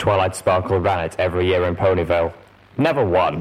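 Speaking at a fairly quick pace, the speaker uses a robotic, put-on character voice. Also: man, very deep, low pitch for a man. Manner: nostalgic.

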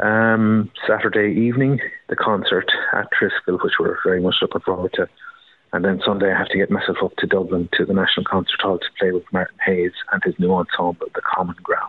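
With an Irish accent, a man speaks at a fairly quick pace over noticeable background noise. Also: very even loudness. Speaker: uilleann piper. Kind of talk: interview.

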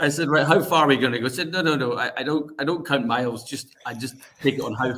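A man's bright, sharp tone with ordinary pitch variation, in a Scottish accent. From Scotland. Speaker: charity fundraiser. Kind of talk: casual chat.

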